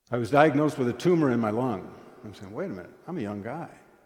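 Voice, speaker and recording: A man with lively intonation, in a room with audible echo. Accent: American. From US Midwest (eastern South Dakota). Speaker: guest lay speaker at church. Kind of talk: sermon. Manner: conversational storytelling.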